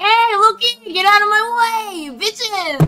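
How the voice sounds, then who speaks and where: A put-on character voice delivers its lines at a fairly slow pace and an extremely high pitch. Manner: brash, sassy.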